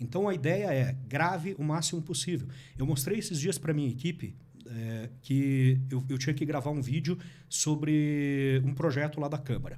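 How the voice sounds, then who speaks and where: A man with a fairly high pitch and a dark, mellow, somewhat breathy tone speaks at a moderate pace with ordinary pitch variation, with audible room echo. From Paraná, Brazil (interior and Curitiba). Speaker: politician and digital marketing content creator. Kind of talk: podcast interview.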